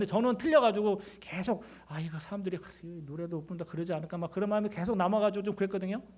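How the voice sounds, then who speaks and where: Talking at a very fast pace, a man with a high pitch shows ordinary pitch variation. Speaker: pastor. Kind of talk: sermon. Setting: church service, also broadcast online. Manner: sometimes stumbling over words.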